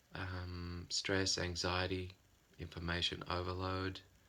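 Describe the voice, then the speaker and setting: With an Australian accent, a man talks in a very deep, low-pitched voice that has a bright, sharp tone. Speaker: psychotherapist. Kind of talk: informal talk to camera.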